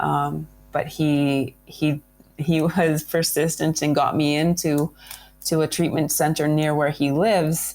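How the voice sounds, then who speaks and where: The speech moves at a fairly slow pace with very even loudness. The intonation is monotone and flat. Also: woman, very deep, low pitch for a woman. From Canada. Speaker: adventurer. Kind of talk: interview. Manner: halting.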